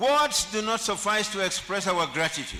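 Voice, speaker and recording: A man's raised, projected voice at a fairly slow pace, with noticeable background noise. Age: 70s. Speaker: honorary degree recipient, senior lawyer. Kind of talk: acceptance speech. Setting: convocation ceremony. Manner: formal.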